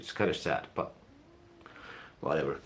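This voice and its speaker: The speaker is a man. He talks with a Finnish accent. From Finland. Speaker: YouTuber, music and film reviewer. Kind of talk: live stream casual chat. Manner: rambling, hesitant with fillers.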